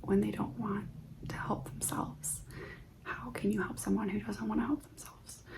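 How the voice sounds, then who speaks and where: A soft-spoken voice whispers over noticeable background noise. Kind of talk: ASMR stoic affirmations, guided reflection. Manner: soft-spoken, whispered, calming.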